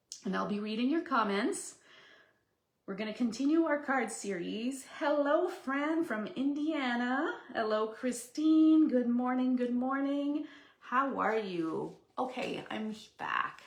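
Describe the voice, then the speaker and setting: In a Quebec accent, a woman with a high pitch and lively intonation speaks at a very slow pace, with audible room echo. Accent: French Canadian accent in English. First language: French. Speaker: papercraft demonstrator. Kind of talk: live stream craft demo chat. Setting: live stream from home craft room. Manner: casual, chatty with fillers.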